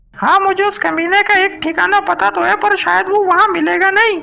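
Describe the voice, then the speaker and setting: A woman performs a cartoonish character voice at an extremely high pitch. Her loudness stays very even and her pace is moderate. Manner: defiant, hot-tempered.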